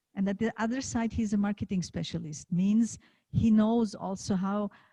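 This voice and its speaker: In a German accent, a woman speaks at a moderate pace in a somewhat breathy, dark, mellow voice of medium pitch with ordinary pitch variation, on a very clean, dry, close recording with a silent background and no echo. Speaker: leadership coach and event host. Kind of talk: event moderation.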